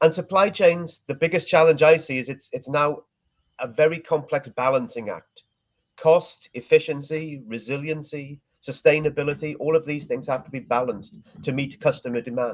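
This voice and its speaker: With a Welsh accent, a man of fairly high pitch speaks at a moderate pace, showing ordinary pitch variation and big swings in loudness. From Wales. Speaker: supply chain marketing executive. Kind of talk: interview.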